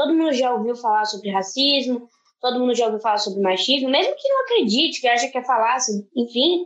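A woman speaks in a high voice at a fairly quick pace, her intonation lively. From Brazil. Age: 20s. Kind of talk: online panel debate.

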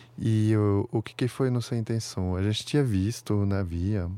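A man with a French accent, dark and mellow in tone, at a fairly slow pace with fairly even intonation, on a very clean recording with a silent background. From France, Paris. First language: French (speaking Portuguese). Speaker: startup founder. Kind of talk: interview. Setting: outdoors in front of a stadium. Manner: halting.

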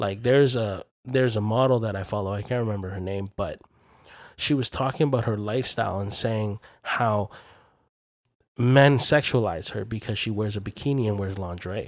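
Speaking fairly quickly in a normal speaking voice, a man with a fairly low pitch and ordinary pitch variation comes through on a very clean recording with a silent background. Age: 20s. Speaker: podcast host. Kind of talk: casual chat.

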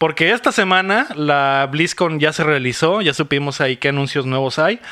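Here a man with a fairly high pitch and a bright, sharp tone speaks at a moderate pace with lively intonation, on a very clean recording with a silent background. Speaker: podcast host. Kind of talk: casual chat.

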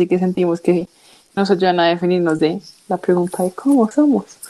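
This woman has a medium pitch and a dark, mellow tone. She speaks at a moderate pace. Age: 20s. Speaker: university student, podcast co-host. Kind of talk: casual chat.

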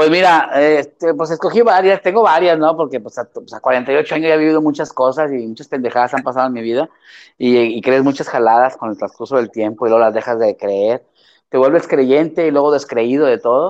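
In a Mexican accent, a man talks at a fairly quick pace over a quiet background. His fairly high pitch shows ordinary variation. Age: 40s. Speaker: theatre actor and director. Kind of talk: casual interview chat.

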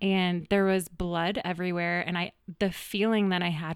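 In a very clean recording with a silent background, a woman with a General American accent speaks in a normal speaking voice at a fairly low pitch and a moderate pace. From Colorado, Greenwood Village. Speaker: fitness studio owner. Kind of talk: interview conversation. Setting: studio.

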